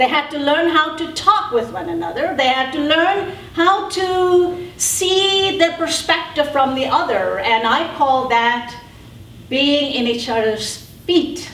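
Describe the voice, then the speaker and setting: Lively intonation at a very slow pace, with audible room echo and noticeable background noise. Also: woman. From South Africa. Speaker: panelist. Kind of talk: panel talk.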